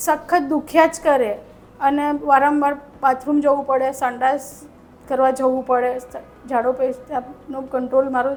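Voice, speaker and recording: A woman with a high pitch speaks in monotone, flat intonation. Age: 40s. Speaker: patient. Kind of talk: testimony.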